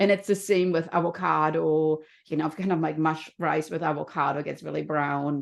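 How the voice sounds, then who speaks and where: Against a quiet background, a woman with a slight German accent speaks at a moderate pace in a very deep, low pitch with fairly even intonation. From Germany. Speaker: health and happiness coach. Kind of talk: podcast interview.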